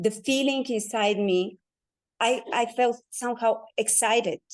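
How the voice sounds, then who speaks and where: Over a quiet background, a woman with a non-native accent talks at a very slow pace, her fairly high pitch showing ordinary variation. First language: not English. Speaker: guest sharing personal experience. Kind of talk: testimony. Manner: halting.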